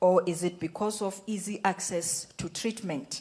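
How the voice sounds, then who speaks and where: A woman with a dark, mellow tone and a medium pitch speaks at a fairly slow pace. She sounds somewhat breathy, with fairly even intonation. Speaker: workshop table reporter. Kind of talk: group feedback presentation.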